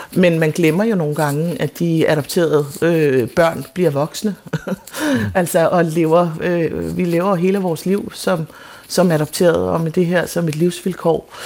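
Fairly slow, fairly even speech over noticeable background noise. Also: woman, fairly low pitch for a woman. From Denmark, adopted from South Korea. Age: 40s. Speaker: playwright. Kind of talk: radio interview. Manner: halting.

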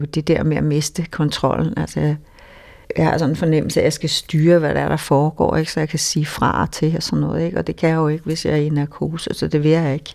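A woman speaks at a very fast pace with monotone, flat intonation. Her pitch is very deep and low. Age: 60s. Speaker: storyteller sharing life story. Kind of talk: personal testimony. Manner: halting.

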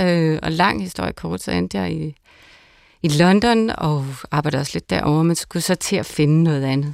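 A woman speaks at a fairly quick pace with very wide pitch swings, recorded very cleanly against a silent background. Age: 40s. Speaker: pastor. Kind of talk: casual chat. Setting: studio.

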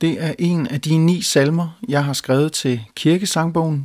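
This man talks at a very slow pace. His pitch is fairly high, with ordinary variation. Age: young. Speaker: hymn writer and composer. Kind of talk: talk introducing his hymn.

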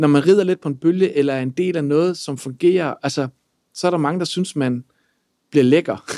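An ordinary speaking voice, a man's, fairly high in pitch with ordinary pitch variation and a fairly quick pace, dry and close with no echo. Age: 30s. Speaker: lawyer and entrepreneur. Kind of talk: personal testimony.

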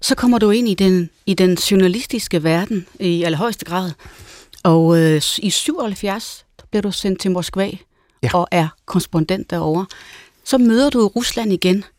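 An unremarkable speaking voice from a woman at medium pitch, fairly slow pace and ordinary pitch variation, on a very clean recording with a silent background. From Denmark. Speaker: radio host. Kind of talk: radio interview.

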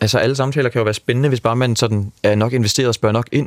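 A man talks very fast at a medium pitch, his intonation fairly even, in a dry, close recording without any echo. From Denmark. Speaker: backpacker who hitchhiked around Europe. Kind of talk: radio interview. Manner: hesitant, many fillers.

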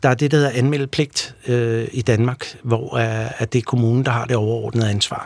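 A man speaks at a moderate pace with hardly any pauses. His intonation is monotone and flat. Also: medium pitch for a man. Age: 40s. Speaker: pest control company executive. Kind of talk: radio interview.

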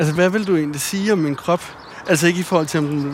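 A man with a fairly high pitch talks at a very fast pace, his intonation fairly even. Noticeable background noise runs behind him. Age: 30s. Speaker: podcast host. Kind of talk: casual conversation. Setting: outdoors, walking.

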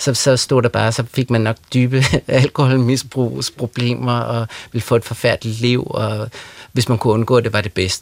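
A man's medium-pitched voice, monotone and flat, at a fairly slow pace, with a dry, close sound and no echo. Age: 40s. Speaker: writer. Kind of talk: radio interview. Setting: studio.

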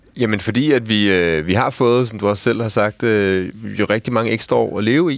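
A man talks at a moderate pace. His pitch is fairly low, with ordinary variation. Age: 40s. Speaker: ethnologist and university lecturer. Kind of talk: radio discussion. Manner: halting.

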